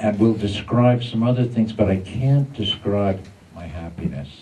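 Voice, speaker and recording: Light noise in the background behind a man, his pitch varying in a normal way. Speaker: conference speaker. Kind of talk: lecture. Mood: warm, emotional, happy to return. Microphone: podium.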